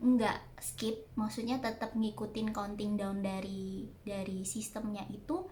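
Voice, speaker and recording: Noticeable background noise and audible room echo surround the speaker. A woman talks in a fairly high voice with ordinary pitch variation. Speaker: vlogger. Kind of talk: casual Q&A vlog. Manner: hesitant, many fillers. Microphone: no external microphone, quiet audio.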